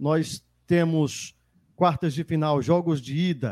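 The man's fairly high voice sounds dry and close with no echo, recorded very cleanly against a silent background. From Ceará interior, Brazil. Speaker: sports radio host. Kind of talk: sports talk show. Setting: studio, live radio and YouTube.

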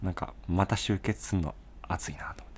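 Speaking fairly slowly, a man has a very deep, low pitch. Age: 20s. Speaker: band bassist, podcast co-host. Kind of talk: casual chat.

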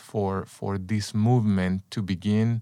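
A man with a Spanish accent speaks fairly slowly in a fairly low, flat monotone with a dark, mellow tone. The recording is very clean, with a silent background and a dry, close sound with no echo. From El Salvador, San Salvador. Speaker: former executive, personal growth coach. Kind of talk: interview.

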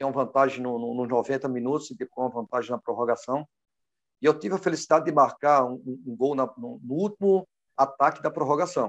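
A man speaks at a fairly quick pace with a fairly high pitch and ordinary pitch variation. The sound is dry and close, with no echo. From Brazil, Pernambuco. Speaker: former footballer and coach. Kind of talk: interview. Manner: halting, many fillers.

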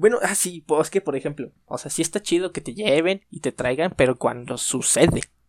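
Dry and close with no echo, a man with an unremarkable speaking voice talks at a fairly quick pace with lively intonation. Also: big swings in loudness. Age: 20s. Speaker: podcast co-host. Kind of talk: casual chat.

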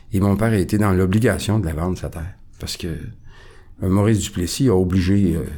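Very deep, low pitch from a man, a dark, mellow tone, a moderate pace and ordinary pitch variation. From Quebec, near Quebec City. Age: 60s. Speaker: recovering alcoholic sharing his story. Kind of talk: testimony. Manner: calm, composed.

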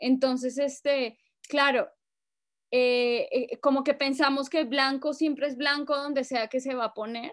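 A high-pitched woman talks at a fairly slow pace with monotone, flat intonation. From Colombia, Bogotá. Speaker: writer and activist. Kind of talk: casual chat.

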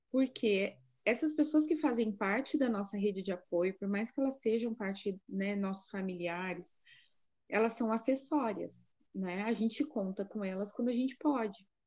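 Over a quiet background, a somewhat breathy woman speaks at a fairly high pitch and moderate pace with ordinary pitch variation. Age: 30s. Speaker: psychologist and mother of seven. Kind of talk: casual chat. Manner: halting.

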